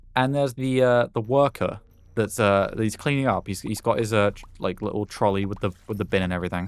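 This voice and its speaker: In a British accent, a man talks at a fairly quick pace with ordinary pitch variation. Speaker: gaming YouTuber. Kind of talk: gameplay commentary with casual storytelling. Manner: casual, hesitant with many fillers.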